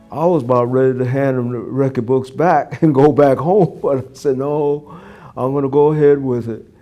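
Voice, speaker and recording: With an American accent, a man of fairly high pitch speaks at a moderate pace over music in the background. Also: fairly even intonation. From Brooklyn, New York. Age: 90s. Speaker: war veteran. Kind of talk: interview answer.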